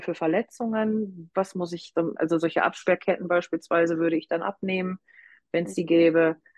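A woman has an unremarkable speaking voice with a fairly low pitch and ordinary pitch variation. The sound is dry and close, with no echo. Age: 40s. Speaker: hobby-horsing coach and association manager. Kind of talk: interview.

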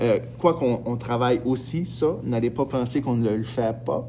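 A man at medium pitch, a fairly slow pace and ordinary pitch variation. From northern New Brunswick, Edmundston. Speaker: high school French teacher, podcast host. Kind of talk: casual podcast monologue. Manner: hesitant, many fillers.

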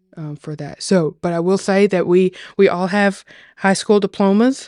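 In a very clean recording with a silent background, a woman with a Tennessee accent talks at a fairly slow pace in a fairly low, dark, mellow voice with ordinary pitch variation. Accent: Southern US (Tennessee). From Tennessee, US South. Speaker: agriculturalist, farm lover. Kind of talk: casual chat, personal testimony. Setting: podcast table conversation.

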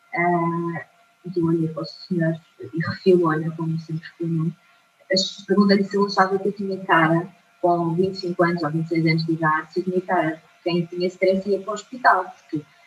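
There is noticeable background noise. Through it, a woman talks at a medium pitch. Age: 30s. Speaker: mind trainer. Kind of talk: testimony. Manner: hesitant, many fillers.

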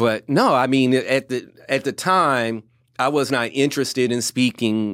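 Against a silent background in a very clean recording, a man with a Louisiana accent speaks at a fairly slow pace. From Louisiana (Ville Platte), US South; military childhood. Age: 40s. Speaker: motivational speaker, former educator. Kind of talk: interview, personal story.

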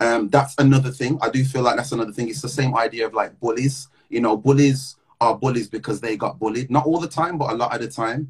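The voice is somewhat breathy and moves at a very fast pace. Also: man, medium pitch for a man. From English Midlands, Wolverhampton. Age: 20s. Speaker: podcast host and musician. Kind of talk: casual livestream chat and interview. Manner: animated.

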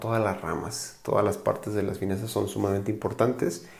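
Audible room echo around a man's somewhat breathy voice. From Mexico, Guadalajara, Jalisco. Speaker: financial advisor, podcast host. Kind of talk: casual podcast monologue. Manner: hesitant with fillers and repetitions.

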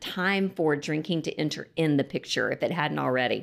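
A woman speaks with a Texan accent and ordinary pitch variation. The recording is very clean, with a silent background. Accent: Texan American. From Lubbock, Texas. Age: 50s. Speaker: sobriety coach. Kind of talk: casual chat.

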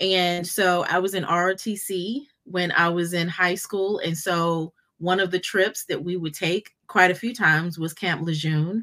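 With a normal speaking voice, a woman talks at a fairly slow pace and a fairly low pitch. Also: hardly any pauses. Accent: American. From North Carolina, US. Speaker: podcast host and business strategist. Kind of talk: casual interview chat.

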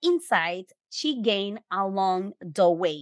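Slowly, a woman speaks with lively intonation.

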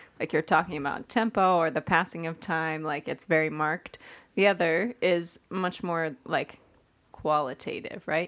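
A woman talks at a moderate pace with a fairly low pitch and ordinary pitch variation, in an unremarkable speaking voice. The recording is very clean and the background silent. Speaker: church staff member. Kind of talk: casual chat.

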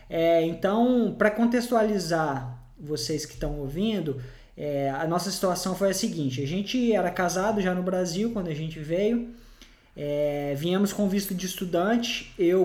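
In a room with audible echo, a man talks high in pitch at a fairly slow pace with ordinary pitch variation. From Brazil. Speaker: podcast host. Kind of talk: casual chat. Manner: halting.

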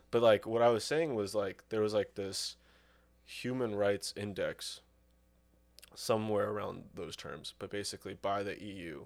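On a very clean recording with a silent background, a man uses a normal speaking voice at a fairly low pitch. His pace is moderate, with ordinary pitch variation and big swings in loudness. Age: 20s. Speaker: guest with knowledge of Soviet-era history. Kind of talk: casual chat.

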